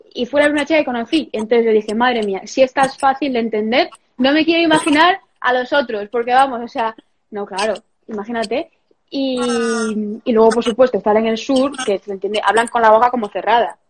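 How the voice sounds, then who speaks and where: With a normal speaking voice, a woman talks at a fairly quick pace in a fairly high pitch with ordinary pitch variation. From Spain, Galicia (Santiago de Compostela). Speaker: professional golfer. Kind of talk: casual interview. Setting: Instagram live video call.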